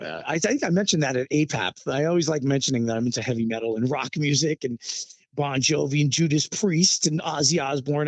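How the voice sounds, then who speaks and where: Speaking at a fairly quick pace with a New York accent, the voice has lively intonation. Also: man. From New York City. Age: 50s. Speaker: Latin percussionist and band leader. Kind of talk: interview.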